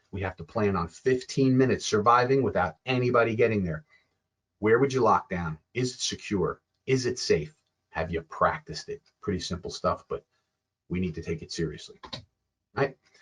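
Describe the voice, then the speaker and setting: A man speaking with long, frequent pauses in a dry, close sound with no echo. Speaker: security expert. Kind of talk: lecture. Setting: webinar. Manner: fast.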